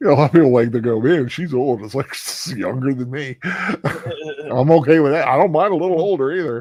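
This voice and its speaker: A man with a plain, everyday voice talks at a fairly quick clip, pitched fairly high for a man, with ordinary pitch variation and hardly any pauses. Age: 60s. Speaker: film commentary co-host. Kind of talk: casual chat.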